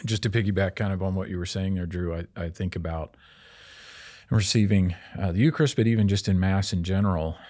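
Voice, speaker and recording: A man with a Midwestern American accent, very deep and low in pitch, dark and mellow in tone, at a very fast pace, in a very clean recording with a silent background. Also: ordinary pitch variation. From Kansas City, Kansas. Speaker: college advancement officer, former pastor. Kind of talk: conversion testimony in casual chat. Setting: studio.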